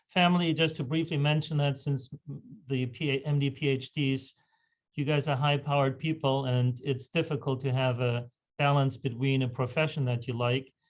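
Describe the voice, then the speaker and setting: A man speaks in a German accent at a moderate pace. His fairly high voice is somewhat breathy, with monotone, flat intonation. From Germany. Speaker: physician, hematologist. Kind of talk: lecture. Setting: video call.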